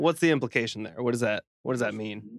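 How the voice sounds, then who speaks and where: Recorded dry and close with no echo, a man speaks in a plain, everyday voice at a medium pitch with ordinary pitch variation. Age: 30s. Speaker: podcast producer. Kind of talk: casual chat.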